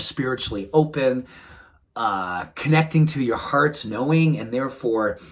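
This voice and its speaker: A man with a New England accent speaks in a warm tone at a medium pitch. His pace is moderate and his pitch variation ordinary. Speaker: wellness doctor. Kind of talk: motivational talk to camera. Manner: warm, earnest.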